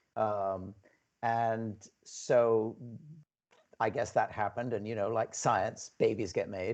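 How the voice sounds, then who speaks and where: A man speaks in a monotone with an American accent, his pitch medium. He goes at a very slow pace, with long, frequent pauses. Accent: English transatlantic. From New York, bohemian Broadway family. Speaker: film producer and former actor. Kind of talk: interview.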